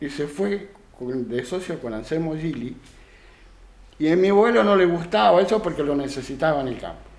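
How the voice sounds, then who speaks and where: A man at a moderate pace with lively intonation and audible room echo. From Argentina, Santa Fe province (San Carlos Centro). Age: 70s. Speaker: retired dairy farmer and craftsman. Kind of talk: radio interview. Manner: hesitant, many fillers.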